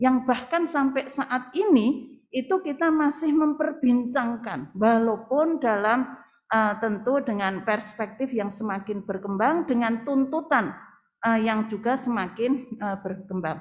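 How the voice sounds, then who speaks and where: Lively intonation carries the speech at a very slow pace over a quiet background. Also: woman, high pitch for a woman. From Indonesia. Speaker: women's organization leader; speaker. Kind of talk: opening speech. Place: hall. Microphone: podium.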